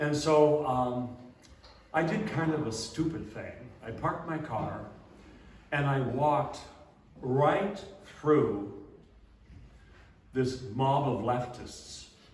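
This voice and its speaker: A man's fairly high voice at a very slow pace, with long, frequent pauses, ordinary pitch variation and audible room echo. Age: 70s. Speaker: abbot and speaker. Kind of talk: talk to church audience. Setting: church talk with audience. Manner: halting, many fillers.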